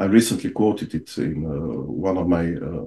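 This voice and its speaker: A man speaks at a fairly slow pace with a Bulgarian accent. His tone is dark and mellow, with vocal fry. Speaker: lawyer and author. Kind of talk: podcast interview. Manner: halting.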